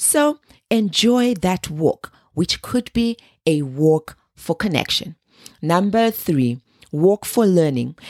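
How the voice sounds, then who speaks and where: In a very clean recording with a silent background and a dry, close sound free of echo, a woman speaks at a medium pitch and a very slow pace, her loudness very even while her pitch swings very wide. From Zimbabwe. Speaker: wellness podcast host. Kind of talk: scripted solo podcast monologue.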